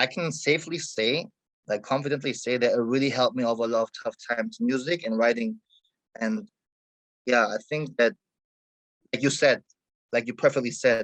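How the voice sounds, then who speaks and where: A man with a German accent at a fairly quick pace, with long, frequent pauses and a dry, close sound with no echo. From Germany and Egypt. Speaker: hip hop artist. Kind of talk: interview conversation. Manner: halting, many fillers.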